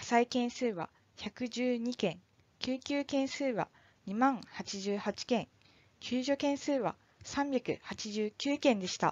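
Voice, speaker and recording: A woman with a high pitch and lively intonation talks at a very slow pace. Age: 20s. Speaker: firefighter. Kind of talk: scripted narration.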